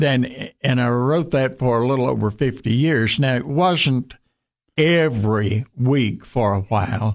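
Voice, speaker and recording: Spoken with a Southern US accent at a fairly slow pace, the voice keeps very even loudness. Pitch varies in an ordinary way. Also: man, medium pitch for a man. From US South, western Tennessee. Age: 80s+. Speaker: pastor. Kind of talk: casual chat. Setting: studio.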